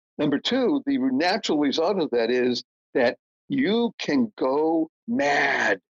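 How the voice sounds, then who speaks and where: A man with an American accent speaks at a very slow pace, his pitch swinging very widely while his loudness stays very even, with long, frequent pauses. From Boston, Massachusetts. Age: 70s. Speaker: motivational speaker and author. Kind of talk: podcast interview. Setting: podcast. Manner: animated.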